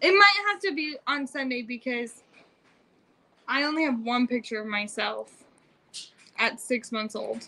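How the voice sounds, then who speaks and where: An American-accented woman speaks at a high pitch with lively intonation. Her pace is fairly slow, with long, frequent pauses. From Utah. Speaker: family vlogger, mother. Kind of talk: casual livestream chat. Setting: home livestream.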